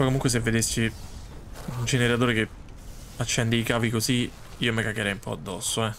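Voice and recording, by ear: A man's fairly bright voice at medium pitch, fairly quick in pace, with little pitch movement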